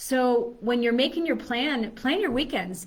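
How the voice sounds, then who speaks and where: With an American accent, a woman speaks at a fairly high pitch over audible room echo. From Chicago. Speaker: fitness coach. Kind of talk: live video talk. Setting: live stream video. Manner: fast.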